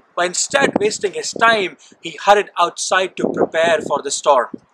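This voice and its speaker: Against noticeable background noise, a man talks fairly slowly in a high voice. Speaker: church minister. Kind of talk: sermon storytelling. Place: forest.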